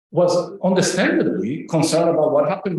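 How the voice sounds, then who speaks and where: A man with a high voice talks at a fairly quick pace. Audible room echo fills the recording. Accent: Spanish. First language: Spanish. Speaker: professor. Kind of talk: academic lecture.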